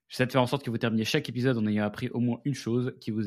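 This is a man speaking at a medium pitch. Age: 20s. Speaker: podcast host and agency founder. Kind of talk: casual solo monologue. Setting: home studio with headphones and mic. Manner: animated.

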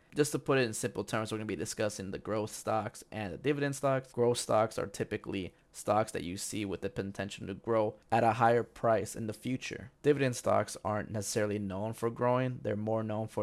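Using a plain, everyday voice, a man talks at a fairly low pitch with hardly any pauses in a very clean recording with a silent background. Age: 20s. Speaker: podcast host. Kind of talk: solo monologue on personal investing. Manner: casual, conversational with fillers.

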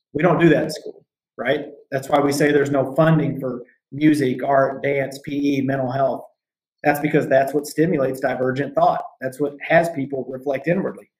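In an American accent, a man talks with a fairly high pitch, a somewhat breathy voice and monotone, flat intonation. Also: moderate pace. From US Midwest/South (Southern Indiana, Arkansas). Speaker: mindfulness and performance coach, military veteran. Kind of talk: casual interview chat.

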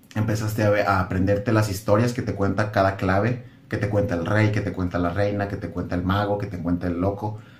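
A man with a Mexican accent talks fairly quickly at a fairly low pitch, with monotone, flat intonation and hardly any pauses. Audible room echo and music sit in the background. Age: 20s. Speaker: content creator on spirituality. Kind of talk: casual chat.

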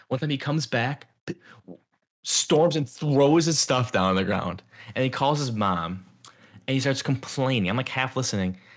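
A man with an American accent and medium pitch talks at a moderate pace with lively intonation and long, frequent pauses. The recording is very clean, with a silent background. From Chicago suburbs, US Midwest. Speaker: podcast co-host. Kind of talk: casual chat.

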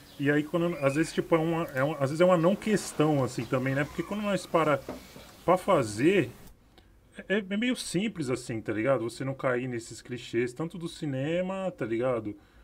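A normal speaking voice from a man, fairly high in pitch, with lively intonation at a moderate pace. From São Paulo, Capão Redondo. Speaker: filmmaker. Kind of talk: panel discussion. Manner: casual slang-heavy.

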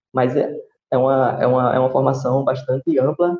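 A man's medium-pitched voice at a moderate pace, with music in the background. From Brazil, Recife (Pernambuco). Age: 20s. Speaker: physical education professional and public health specialist. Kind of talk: interview conversation.

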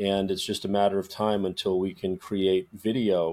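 Monotone, flat intonation runs at a moderate pace in a very clean recording with a silent background. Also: man. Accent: American. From Minnesota, Twin Cities. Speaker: actor. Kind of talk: interview.

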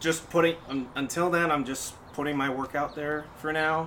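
A man speaks at a moderate pace with a fairly high pitch and fairly even intonation. Background noise is noticeable. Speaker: guest, illustrator and voice impressionist. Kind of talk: casual interview.

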